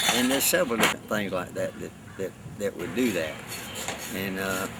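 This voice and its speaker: Against noticeable background noise, a man talks fairly quickly at a fairly low pitch. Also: ordinary pitch variation. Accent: Southern US. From US South, Savannah, Georgia. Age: 70s. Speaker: farrier. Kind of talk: casual chat while working; documentary interview.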